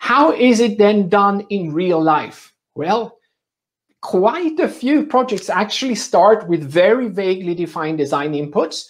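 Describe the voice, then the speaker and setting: Against a quiet background, a man with a non-native accent and a high-pitched voice speaks at a fairly slow pace with lively intonation. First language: not English. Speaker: medical device consultant and trainer; trainer. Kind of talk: conference presentation. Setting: virtual summit session. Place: home room.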